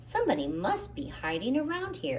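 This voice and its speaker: A put-on character voice is delivered at a moderate pace while clear background noise plays beneath it. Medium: read story.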